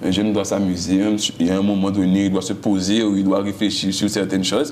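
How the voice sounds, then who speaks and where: A man talks at a fairly quick pace in a fairly low pitch, with monotone, flat intonation and very even loudness. Noticeable background noise and audible room echo fill the recording. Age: young. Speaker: singer. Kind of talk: interview. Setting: TV studio.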